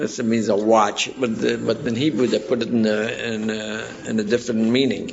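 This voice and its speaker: Over noticeable background noise, a man of medium pitch speaks at a fairly slow pace in a monotone, flat voice. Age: 60s. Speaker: community elder and cantor. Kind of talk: oral history interview. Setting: community center. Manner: halting.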